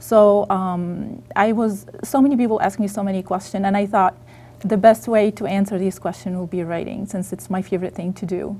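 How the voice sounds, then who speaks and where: A woman's medium-pitched, somewhat breathy voice with a dark, mellow tone, ordinary pitch variation and a fairly quick pace. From Egypt. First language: Arabic. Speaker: author. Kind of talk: interview. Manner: halting.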